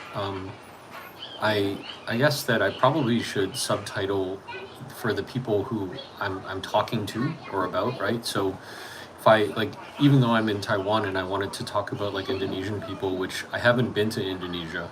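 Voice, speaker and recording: With a Canadian accent, a man speaks at a fairly low pitch with ordinary pitch variation, amid noticeable background noise and audible room echo. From Canada. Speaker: English teacher and small youtuber. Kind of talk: casual chat. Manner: halting, many fillers and restarts; fast.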